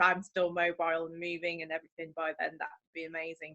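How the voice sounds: Woman's voice, fairly low in pitch, with a bright, sharp tone and a fairly quick pace.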